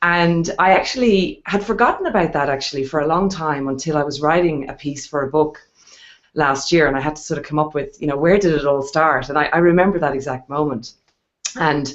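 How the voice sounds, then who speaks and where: A woman with an Irish accent, a very deep, low pitch, ordinary pitch variation and a fairly quick pace. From Ireland. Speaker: wealth strategist and investor. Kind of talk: interview on a video hangout.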